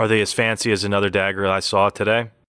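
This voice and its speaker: A raspy, put-on character voice at a very fast pace, flat and monotone in intonation, with very even loudness on a very clean recording over a silent background. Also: man, fairly low pitch for a man. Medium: actual play. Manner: stuttering.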